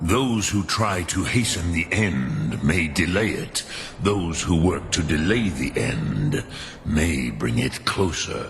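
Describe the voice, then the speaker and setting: Putting on a character voice, a man speaks very deep and low at a fairly slow pace against clear background noise. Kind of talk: mythic archaic speech. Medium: video game. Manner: slow, grave, measured.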